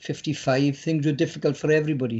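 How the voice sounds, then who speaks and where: A man speaks with a South Wales Valleys accent and a fairly high pitch. His intonation stays fairly even. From south Wales mining valleys, Caerau. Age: 70s. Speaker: poet. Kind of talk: casual chat.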